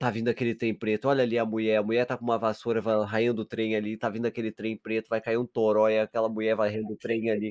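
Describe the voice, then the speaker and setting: A man speaks with a southern Brazilian accent in a fairly low pitch and at a fairly quick pace. The very clean recording has a silent background and a dry, close sound with no echo. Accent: gaucho Brazilian Portuguese. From Rio Grande do Sul, Brazil. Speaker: podcast co-host. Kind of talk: casual chat.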